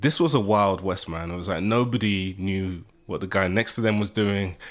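The speaker has a British accent and a moderate pace with ordinary pitch variation. The recording is very clean with a silent background. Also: man. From UK. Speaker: media executive and marketing professor. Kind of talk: interview. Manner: animated.

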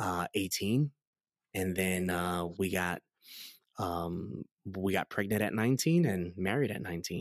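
Dry and close with no echo, the recording catches a man with a New York accent talking at a fairly slow pace in a very deep, low pitch with ordinary pitch variation. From New York City (Queens, Astoria). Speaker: pastor. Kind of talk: testimony interview. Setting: in-person interview.

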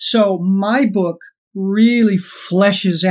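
A woman of medium pitch speaks in an American accent. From Los Angeles, US. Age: 60s. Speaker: author, former cult member. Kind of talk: interview conversation.

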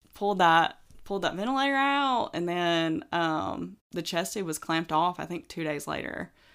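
A woman with a Southern US accent talks at a fairly low pitch with hardly any pauses. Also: lively intonation, moderate pace, very clean recording, silent background. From Alabama, US South. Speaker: new mother on maternity leave. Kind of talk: casual chat.

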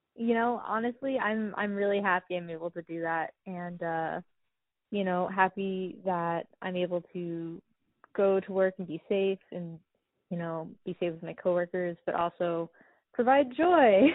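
Speaking at a fairly slow pace in an American accent, a woman has an ordinary speaking voice with ordinary pitch variation. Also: medium pitch for a woman. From California, Sierra foothills. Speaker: wine enthusiast guest. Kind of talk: casual chat. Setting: phone call.

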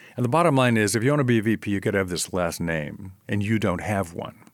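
Speaking at a fairly quick pace, a man has a fairly low pitch. He uses a plain, everyday voice. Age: 60s. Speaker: professor. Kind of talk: interview conversation.

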